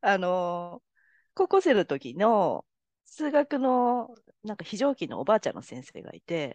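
Very wide pitch swings mark a woman's medium-pitched voice, heard dry and close with no echo against a quiet background. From Japan, Tokyo. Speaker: palm reader. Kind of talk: casual interview chat.

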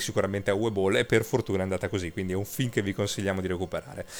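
A man talks at a very fast pace. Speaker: radio host. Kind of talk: casual chat. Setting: studio.

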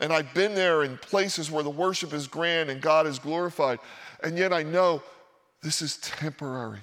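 Here a man with an American accent and a normal speaking voice talks at a fairly high pitch with ordinary pitch variation. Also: moderate pace. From Philadelphia, US. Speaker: pastor. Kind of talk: sermon. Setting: church.

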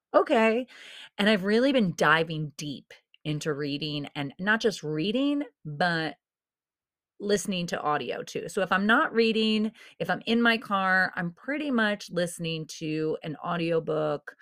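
On a very clean recording with a silent background, a woman at a medium pitch speaks fairly slowly in an animated tone with very wide pitch swings. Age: 40s. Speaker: podcast host. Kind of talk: motivational monologue.

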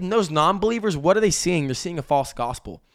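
Animated in tone, a man speaks with lively intonation. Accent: American. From Texas, Amarillo. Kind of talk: casual faith discussion. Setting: studio table with wife.

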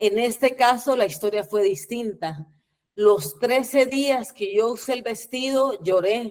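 Very slowly, a woman speaks at a fairly high pitch, her intonation lively. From Guatemala. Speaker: performance artist and poet. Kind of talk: presentation of own work.

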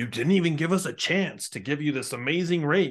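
This man uses a put-on character voice. His pitch sits fairly high. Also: fairly quick pace. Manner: sinister.

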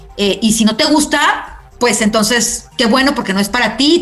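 A woman's fairly high voice with lively intonation at a moderate pace, plus audible room echo and noticeable background noise. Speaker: radio host. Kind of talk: casual interview. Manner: animated.

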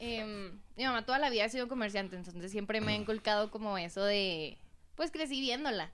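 A woman talks at a fairly quick pace with lively intonation. She has a plain, everyday voice, pitched fairly high. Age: 20s. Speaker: dessert shop owner. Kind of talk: casual interview chat.

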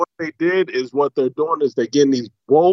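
Ordinary pitch variation shapes speech delivered at a moderate pace. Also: man. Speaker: caller. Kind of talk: casual chat. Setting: phone call. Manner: loud.

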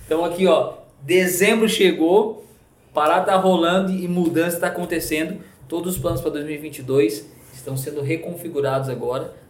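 A man's high pitch with ordinary variation at a moderate pace, audible room echo around it. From Rio Grande do Sul, Brazil (coastal town). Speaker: pastor. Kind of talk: casual chat. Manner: animated.

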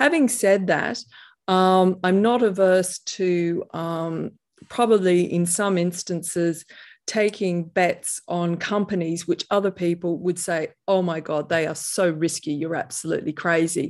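Against a quiet background, a woman with a fairly low pitch speaks at a fairly slow pace with fairly even intonation. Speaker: private investor and author. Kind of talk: interview conversation.

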